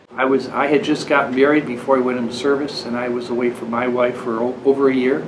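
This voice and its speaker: Very fast, flat, monotone speech in an American accent, with audible room echo and noticeable background noise. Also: man. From US. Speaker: Vietnam War veteran. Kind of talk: interview testimony.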